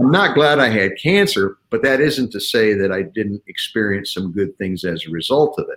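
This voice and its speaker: With a plain, everyday voice, a man talks at a moderate pace and medium pitch, lively in intonation and with hardly any pauses. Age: 60s. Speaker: leadership speaker and author. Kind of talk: interview.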